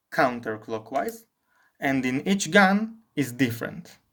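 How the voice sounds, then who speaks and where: A man speaks at a very slow pace with a non-native accent, his fairly high pitch moving in lively intonation. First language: not English. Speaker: firearms hobbyist reviewer. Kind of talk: product review talk to camera.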